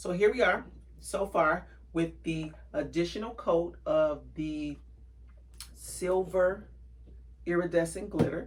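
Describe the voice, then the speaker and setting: In a relaxed tone, a woman speaks at a very slow pace with long, frequent pauses. Noticeable background noise fills the recording. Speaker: craft tutorial youtuber. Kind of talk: tutorial. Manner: casual, relaxed.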